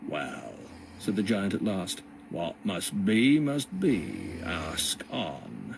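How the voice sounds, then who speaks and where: A man's put-on character voice, fairly low in pitch and very slow in pace, with clear background noise. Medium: read story. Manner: low-voiced.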